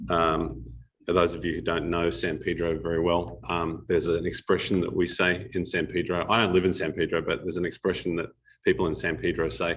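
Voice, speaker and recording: In a very clean recording with a silent background, a man with a very deep, low pitch and vocal fry talks at a fairly quick pace with fairly even intonation. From Australia. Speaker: startup advisor and guest speaker. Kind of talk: talk to a live audience. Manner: hesitant, many fillers.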